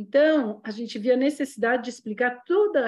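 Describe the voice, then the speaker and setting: Here is a woman with an unremarkable speaking voice and a fairly high pitch. She talks at a moderate pace with lively intonation. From São Paulo, Brazil. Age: 60s. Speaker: dancer and ballet teacher. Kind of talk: casual chat.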